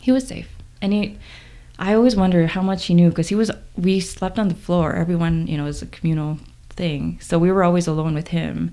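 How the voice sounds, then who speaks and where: A woman speaks at a fairly quick pace with a fairly low pitch and ordinary pitch variation. Her tone is dark and mellow, with an American accent. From South Korea, Incheon, then US. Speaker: personal trainer. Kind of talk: testimony.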